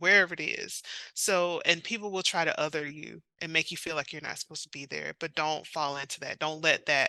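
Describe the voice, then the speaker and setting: In a Southern accent, a woman speaks at a fairly low pitch with ordinary pitch variation and a bright, sharp tone. The sound is dry and close with no echo, and the background is quiet. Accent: Southern, noticeable outside the South. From South Carolina, US South. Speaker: romance author. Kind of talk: interview.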